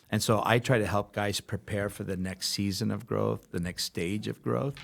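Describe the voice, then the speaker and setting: With a fairly low pitch and some vocal fry, this man talks at a moderate pace with ordinary pitch variation. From Los Angeles, California (born in Brooklyn). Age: 50s. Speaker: pastor. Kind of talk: interview conversation.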